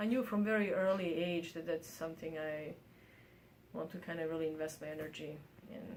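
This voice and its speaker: A speaker with a Bosnian accent talks at a fairly quick pace, with long, frequent pauses. Audible room echo surrounds the voice. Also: woman, fairly low pitch for a woman, ordinary pitch variation. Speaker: artist and university professor. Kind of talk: interview. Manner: halting, many fillers.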